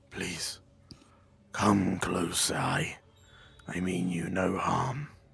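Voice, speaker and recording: Doing a put-on character voice, a man speaks very slowly at a very deep, low pitch, and the voice is raspy. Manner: inviting, reassuring.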